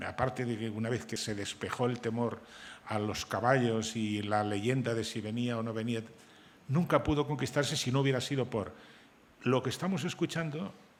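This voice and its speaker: A man at medium pitch talks at a moderate pace with ordinary pitch variation in a plain, everyday voice. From Spain, Santander (Cantabria). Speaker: novelist and journalist. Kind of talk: panel discussion.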